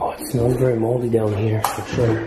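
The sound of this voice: Over audible room echo, a man speaks at a fairly quick pace in a fairly low pitch, his tone dark and mellow with little pitch movement.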